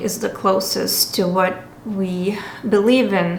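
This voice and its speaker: A woman with a Lithuanian accent and medium pitch speaks very slowly, with audible room echo and noticeable background noise. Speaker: spa owner. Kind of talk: personal commentary monologue. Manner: halting.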